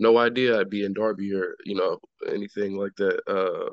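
A man speaks at a moderate pace with an American accent and a fairly low pitch. His intonation is monotone and flat, and the sound is dry and close with no echo. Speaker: professional basketball player. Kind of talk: casual interview chat.

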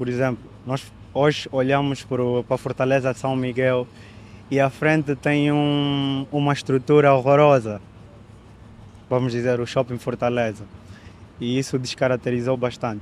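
At a moderate pace, a man speaks in a medium pitch with monotone, flat intonation and long, frequent pauses. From Angola, Luanda. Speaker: photographer. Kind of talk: casual interview.

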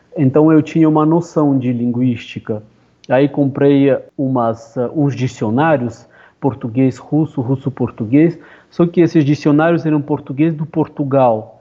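Speech in an Armenian accent moves at a fairly slow pace with fairly even intonation. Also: man, fairly high pitch for a man. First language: Armenian (speaking Portuguese). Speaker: actor. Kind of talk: interview. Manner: halting.

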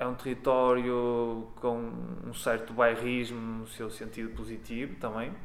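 A man's medium-pitched voice, fairly slow and monotone with flat intonation, with audible room echo. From northern Portugal, near Guimarães. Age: 30s. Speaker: sociologist and local political candidate. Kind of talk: interview. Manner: halting, with repetitions.

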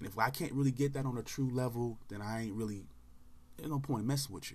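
An animated man talks at a very fast pace and a medium pitch. His voice is somewhat breathy, with audible room echo. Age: 30s. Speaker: sports podcaster. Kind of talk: casual solo commentary.

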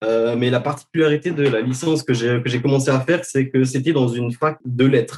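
Intonation is fairly level throughout. The tempo sits at a moderate rate. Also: man. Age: 20s. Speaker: crypto trader. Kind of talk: interview. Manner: hesitant, many repeated words.

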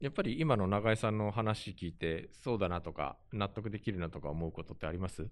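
A man with a plain, everyday voice, fairly low in pitch, talking fairly quickly with lively intonation and hardly any pauses against a quiet background. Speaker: podcast host, book website editor. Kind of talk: interview.

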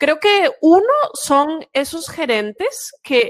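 An extremely high-pitched woman's voice moves through very wide pitch swings. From Spain, Santiago de Compostela (Galicia). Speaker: sales trainer, podcast co-host. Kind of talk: casual chat.

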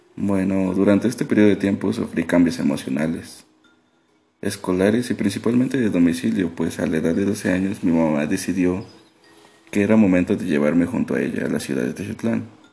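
This man has a very deep, low voice with a dark, mellow tone, vocal fry, and ordinary pitch variation. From Mexico, rural Veracruz. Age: 20s. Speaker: nurse, therapy client. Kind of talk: role-played therapy intake interview.

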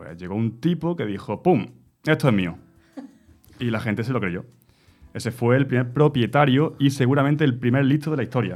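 A medium-pitched man's voice in an Andalusian accent, with lively intonation and long, frequent pauses. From Jaén, Andalusia, Spain. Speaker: radio panelist. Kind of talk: radio talk show.

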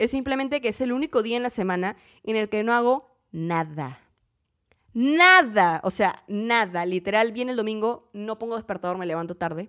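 This woman sounds animated, with a fairly high pitch. Her intonation is lively and her pace moderate. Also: very clean recording, silent background. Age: 20s. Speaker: podcast host and influencer. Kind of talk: casual monologue.

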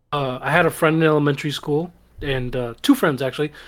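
With an American accent, a man talks at a fairly quick pace in a fairly high pitch and an unremarkable speaking voice. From US South. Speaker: podcast host. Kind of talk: casual chat.

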